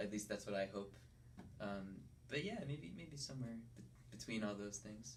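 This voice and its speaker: With an American accent and vocal fry, a man speaks at a moderate pace in a fairly low voice with very wide pitch swings, long, frequent pauses and audible room echo. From Connecticut. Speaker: singer-songwriter. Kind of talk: radio interview. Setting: studio. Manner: halting, many fillers and restarts.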